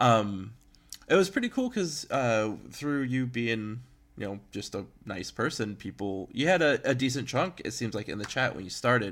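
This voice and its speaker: At a moderate pace, a man with an unremarkable speaking voice talks at a medium pitch with lively intonation. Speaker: podcast host. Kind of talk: casual interview chat. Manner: conversational, informal.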